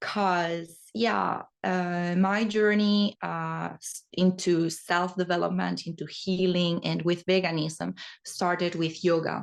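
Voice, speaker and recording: Here a woman speaks at a very slow pace with fairly even intonation. The background is quiet. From Spain. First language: Spanish. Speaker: holistic therapist and yoga teacher. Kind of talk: podcast interview.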